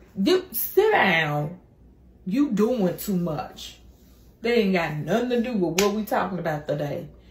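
A woman talks in an animated tone at a fairly slow pace, her intonation lively, with audible room echo and light background noise. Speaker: comedian. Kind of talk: comedy church skit, playing a sassy churchgoer. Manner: animated, exaggerated, sassy, call-and-response preacher-style delivery; jokey, laughing at own lines. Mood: playful, teasing. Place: home room. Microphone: phone near.

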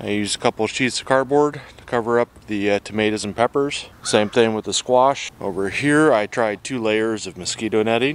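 A man talks with hardly any pauses and ordinary pitch variation, the sound dry with no echo. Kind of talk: casual vlog commentary. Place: garden. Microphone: phone near.

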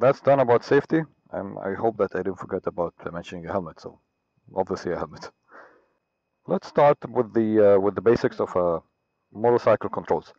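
A man with an unremarkable speaking voice talks fairly quickly at a fairly low pitch. The background is quiet and the sound is dry, with no echo. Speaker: motorcycle rider instructor. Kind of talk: tutorial. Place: street. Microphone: helmet.

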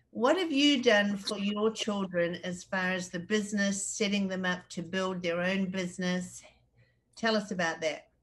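A somewhat breathy woman's voice carries ordinary pitch variation. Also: moderate pace. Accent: New Zealand. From New Zealand. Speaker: interviewer. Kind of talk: interview. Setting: video call. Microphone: video call.

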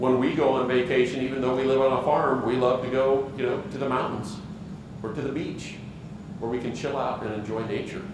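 A man at medium pitch talks at a fairly quick pace with fairly even intonation, amid audible room echo and noticeable background noise. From Wyoming. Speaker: organic farmer; conference presenter. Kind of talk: conference presentation. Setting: stage with audience. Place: hall.

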